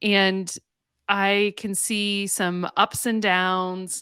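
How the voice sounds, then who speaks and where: Speaking with a slight Canadian accent, a woman has a medium pitch and a bright, sharp tone. The sound is dry and close with no echo, on a very clean recording with a silent background. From western Canada, Calgary, Alberta. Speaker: counselor and faith-based mental health coach. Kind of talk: podcast interview.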